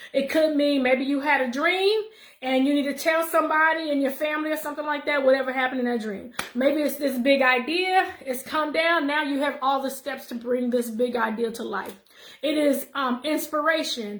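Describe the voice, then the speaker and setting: Through noticeable background noise and audible room echo, a woman speaks at a high pitch with ordinary pitch variation. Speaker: numerology and wellness vlogger. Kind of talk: casual monologue vlog. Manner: fast.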